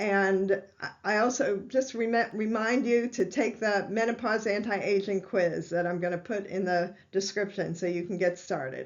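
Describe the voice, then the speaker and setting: Speaking at a moderate pace with hardly any pauses, a woman uses a medium pitch and ordinary pitch variation. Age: 60s. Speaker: holistic health doctor. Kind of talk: health educational talk. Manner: conversational, some hesitations.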